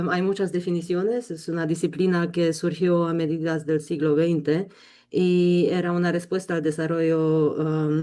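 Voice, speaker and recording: Over a quiet background, a dark, mellow voice speaks at a fairly slow pace. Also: woman. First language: not Spanish (learned in Colombia) (speaking Spanish). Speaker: intensive care physician and bioethics educator. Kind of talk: webinar lecture. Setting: online webinar. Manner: hesitant, many fillers.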